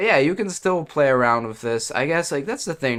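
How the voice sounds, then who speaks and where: A man talks at a fairly quick pace with lively intonation on a very clean recording with a silent background. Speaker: gaming youtuber. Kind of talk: tech talk / rant. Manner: casual, halting with fillers.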